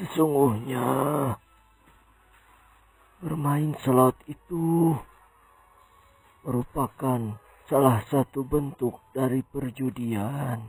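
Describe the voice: Using a put-on character voice, a man speaks at a very slow pace with long, frequent pauses, a slightly mellow tone, a slightly husky edge and fairly even intonation, while faint music plays in the background. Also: medium pitch for a man.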